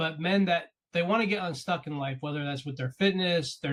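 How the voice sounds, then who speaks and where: Talking at a fairly quick pace, a man sounds somewhat breathy. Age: 40s. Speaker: podcast host and coach. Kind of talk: interview conversation.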